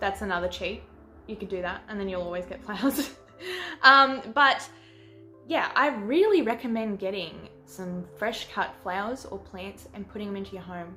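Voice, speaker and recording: Over music in the background, a woman with an Australian accent talks at a moderate pace in a medium-pitched voice with ordinary pitch variation and big swings in loudness. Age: 20s. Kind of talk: casual talk to camera.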